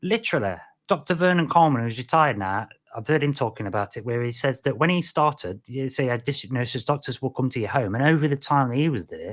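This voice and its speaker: Speech in a British accent comes at a very fast pace with lively intonation, on a very clean recording with a silent background. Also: man. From Britain. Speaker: podcast host. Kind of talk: casual solo podcast monologue. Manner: rambling with frequent fillers and restarts.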